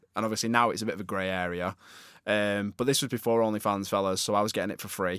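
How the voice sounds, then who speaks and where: Heard in a very clean recording with a silent background, a man with a Northern English accent speaks at a fairly low pitch. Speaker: podcast co-host. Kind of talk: casual chat. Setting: studio.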